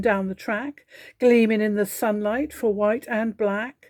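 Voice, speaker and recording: A woman with an English accent speaks at a fairly slow pace in a fairly high voice, with ordinary pitch variation. The recording is very clean, with a silent background. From England. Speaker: poetry reader. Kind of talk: reading aloud.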